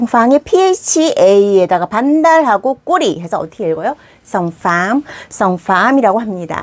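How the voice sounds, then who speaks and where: A woman's fairly high voice with very wide pitch swings, dry and close with no echo, over noticeable background noise. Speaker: Vietnamese language teacher. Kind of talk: tutorial. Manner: fast.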